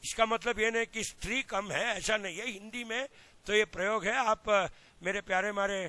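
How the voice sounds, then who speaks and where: A man with a high pitch projects a raised voice with a bright, sharp tone and fairly even intonation at a moderate pace. The recording is very clean with a silent background, its sound dry and close with no echo. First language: Kannada (speaking Hindi). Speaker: agricultural extension scientist. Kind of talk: lecture. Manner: mixes Hindi and English.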